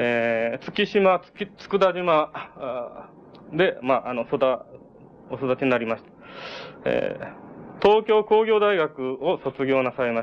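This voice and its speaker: A man with a fairly high pitch talks at a very slow pace with long, frequent pauses. His pitch swings very widely and his loudness shifts greatly. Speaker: event moderator. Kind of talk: formal speaker introduction. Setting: lecture hall with echo. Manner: formal, hesitant.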